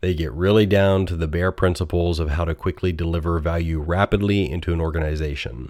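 A man with a very deep, low pitch and an American accent speaks at a fairly quick pace with fairly even intonation and hardly any pauses. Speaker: technology podcast host, engineering leader. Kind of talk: solo educational monologue. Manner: casual with frequent fillers.

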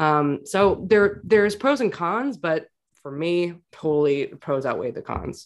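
Against a quiet background, a woman with an American accent speaks at a fairly low pitch and a fairly slow pace. Her pitch swings very widely, and her loudness shifts greatly. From New York City. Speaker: clinical psychologist, podcaster. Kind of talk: casual interview chat.

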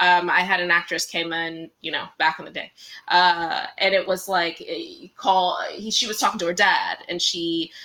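A woman with an American accent has an ordinary speaking voice, fairly low in pitch, with fairly even intonation at a moderate pace. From Washington, DC. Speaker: casting director. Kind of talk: interview.

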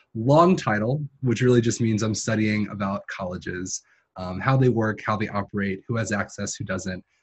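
Somewhat breathy, a man speaks at a moderate pace in a fairly low pitch with ordinary pitch variation. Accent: American. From New York City, Queens. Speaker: graduate student. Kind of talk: interview.

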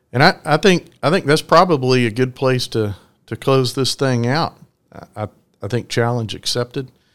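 With an ordinary speaking voice, a man talks at a medium pitch and a moderate pace, his pitch varying in an ordinary way. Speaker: podcast host and trucking executive. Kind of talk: interview.

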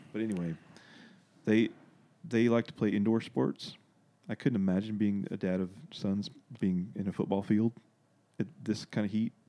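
Speaking at a moderate pace, a man uses a fairly low voice with a dark, mellow tone and a Southern US accent. He leaves long, frequent pauses. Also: ordinary pitch variation. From US South, Arkansas. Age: 30s. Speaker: guest. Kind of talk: casual chat. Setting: studio.

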